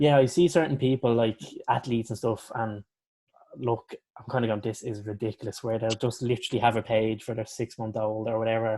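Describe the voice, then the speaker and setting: A man speaks with an Irish accent at a medium pitch. His tone is dark and mellow, his intonation fairly even. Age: 20s. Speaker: podcast host. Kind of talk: casual chat.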